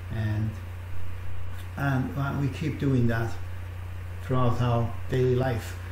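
Audible room echo and light background noise surround a man speaking with ordinary pitch variation. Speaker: online minister leading prayer. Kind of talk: fervent intercessory prayer, addressing God directly. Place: home room. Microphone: webcam.

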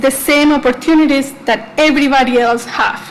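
Against noticeable background noise, a woman speaks in a high voice with fairly even intonation. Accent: Spanish. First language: Spanish. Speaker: student, public commenter. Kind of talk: public comment at board meeting. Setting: school board meeting.

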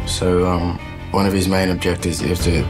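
A man's very deep, low voice at a fairly quick pace over clear background music. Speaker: actor in an interview. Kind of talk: interview answer. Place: kitchen.

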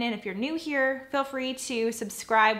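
The voice has a bright, sharp tone and fairly even intonation. It moves at a moderate pace. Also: woman. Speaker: mom vlogger. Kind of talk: casual vlog chat. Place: home room.

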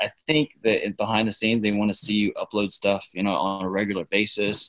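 In an American accent, a man with a normal speaking voice talks at a moderate pace in a fairly low pitch, the sound dry and close with no echo. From US South. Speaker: network engineer. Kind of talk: casual chat.

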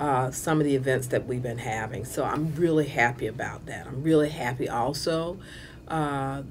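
Light background noise sits under a woman talking at a moderate pace. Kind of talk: interview answer. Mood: pleased, warm.

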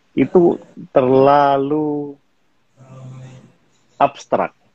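The background stays quiet while a man talks. His sound is dry, without any echo. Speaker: guest. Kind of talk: interview answer. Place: home room. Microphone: video call.

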